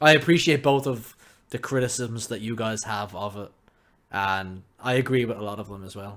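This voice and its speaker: A man with an Irish accent and ordinary pitch variation. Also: very clean recording, silent background. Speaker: gaming podcast co-host. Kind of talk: casual chat. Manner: loud.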